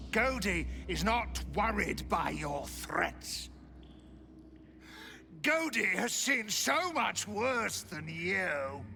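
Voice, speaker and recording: A man uses a put-on character voice at a very slow pace. Long, frequent pauses break up his speech, with clear background noise behind him. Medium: video game. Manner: gloating, speaks of self in third person.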